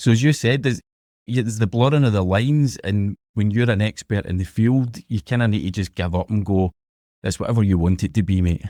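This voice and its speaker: The speaker has a strong Glasgow accent and a fairly quick pace, with ordinary pitch variation. The recording is very clean and dry, close with no echo and a silent background. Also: man, fairly low pitch for a man. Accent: strong Glaswegian Scottish. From Scotland, Glasgow. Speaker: podcaster. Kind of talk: interview conversation.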